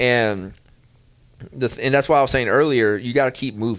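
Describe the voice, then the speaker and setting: A man with a normal speaking voice talks at a fairly quick pace with ordinary pitch variation. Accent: American. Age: 20s. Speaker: podcast host. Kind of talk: casual chat. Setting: studio.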